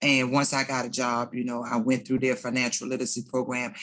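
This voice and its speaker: An American accent in a woman's very deep, low voice. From Washington DC area. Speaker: formerly incarcerated panelist. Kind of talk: panel discussion.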